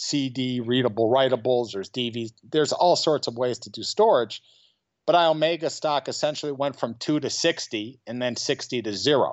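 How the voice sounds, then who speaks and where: At a moderate pace, a man with an American accent uses a plain, everyday voice at a medium pitch with ordinary pitch variation. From Chicago, US Midwest. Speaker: short seller. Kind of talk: interview. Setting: remote from home.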